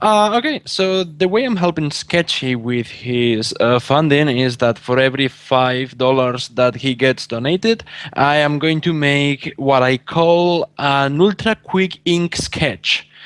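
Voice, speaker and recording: A man with a Spanish accent speaks fairly slowly, his pitch fairly high and his intonation lively. His loudness stays very even. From Spain. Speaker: artist. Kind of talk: casual chat. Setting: call.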